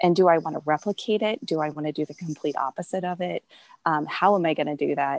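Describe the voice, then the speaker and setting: In a Midwestern accent, a woman talks at a fairly quick pace with a very deep, low pitch and fairly even intonation, recorded very cleanly with a silent background and a dry, close sound with no echo. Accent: general American Midwestern. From US Midwest. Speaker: textile designer and business owner. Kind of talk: interview. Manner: hesitant with frequent fillers.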